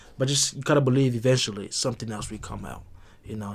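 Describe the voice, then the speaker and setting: A man with a Congolese accent, medium-pitched, talking at a very fast pace with fairly even intonation. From DR Congo. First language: not English. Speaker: podcast guest. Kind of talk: casual chat.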